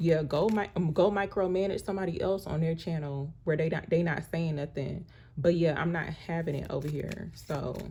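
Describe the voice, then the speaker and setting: A soft-spoken woman talks at a moderate pace with hardly any pauses. Her pitch is fairly low and her intonation fairly even. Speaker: tarot card reader. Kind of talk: tarot reading monologue. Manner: soft-spoken, viewers say she talks too low.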